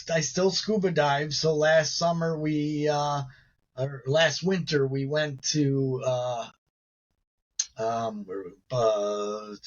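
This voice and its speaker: Speaking with an American accent, a man with a fairly high pitch talks at a very slow pace in a somewhat breathy voice, leaving long, frequent pauses. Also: ordinary pitch variation. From Chicago south suburbs, US Midwest. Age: 60s. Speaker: paralympic gymnast and motivational speaker. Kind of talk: interview conversation. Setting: live online show.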